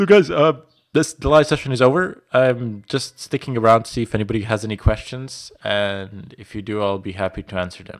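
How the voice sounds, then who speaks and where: A man with a Bosnian accent talks at a fairly quick pace with hardly any pauses. His loudness swings widely over a quiet background. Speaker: IT instructor. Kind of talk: live stream Q&A. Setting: live stream from home.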